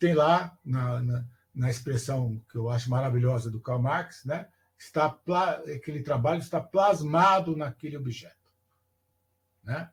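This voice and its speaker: A man's somewhat breathy, fairly high voice at a fairly slow pace, with ordinary pitch variation. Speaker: teacher educator giving a lecture. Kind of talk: online lecture.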